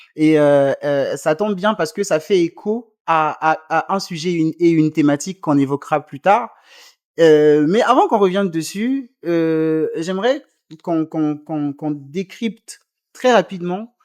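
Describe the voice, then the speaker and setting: The speaker goes at a fairly slow pace over a quiet background. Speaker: interview show host. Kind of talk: interview questions.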